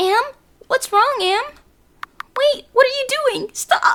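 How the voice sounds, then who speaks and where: A female-sounding, put-on character voice, squeaky and extremely high in pitch, speaks at a fairly slow pace. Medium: game stream. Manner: anxious.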